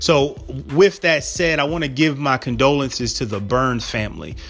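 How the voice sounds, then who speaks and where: Music runs in the background. Against it, a man's pitch varies ordinarily at a moderate pace. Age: 40s. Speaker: podcast host and physician. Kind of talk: casual solo podcast talk.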